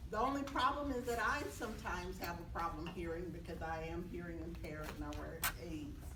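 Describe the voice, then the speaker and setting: Clearly audible background noise and some room echo surround a woman speaking rather quickly. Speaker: mediation professor and speaker. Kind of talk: talk to an audience. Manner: loud. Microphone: no microphone.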